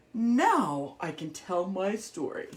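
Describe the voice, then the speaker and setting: A put-on character voice at a fairly high pitch. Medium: read story. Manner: gentle, sleepy.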